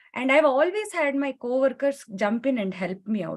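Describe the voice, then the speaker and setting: A woman speaks at a moderate pace. She talks with a Kannada accent. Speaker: panelist, tech professional. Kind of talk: panel discussion.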